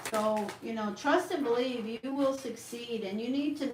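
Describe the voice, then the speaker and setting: In a room with audible echo and noticeable background noise, a woman talks at a fairly slow pace with ordinary pitch variation. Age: 60s. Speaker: tarot reader. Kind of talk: live-stream tarot reading. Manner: halting, many fillers.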